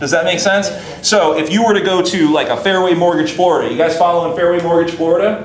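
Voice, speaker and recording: A man speaks very fast in an animated, high-pitched voice. Audible room echo and noticeable background noise surround him. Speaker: marketing instructor. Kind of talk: lecture.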